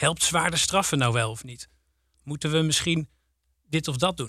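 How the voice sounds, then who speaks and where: A man talks at a fairly quick pace with a fairly high pitch and a bright, sharp tone. The recording is very clean, with a silent background. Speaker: teacher and teacher trainer. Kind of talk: podcast conversation. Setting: studio.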